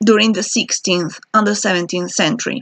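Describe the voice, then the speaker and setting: A woman with a non-native accent, fairly even intonation and a dry, close sound with no echo. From Spain, Basque Country. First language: Spanish or Basque. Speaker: PhD student researcher. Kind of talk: video self-introduction monologue. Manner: halting with fillers.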